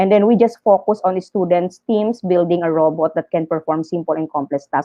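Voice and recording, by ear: With a dark, mellow tone, a woman talks at a fairly quick pace.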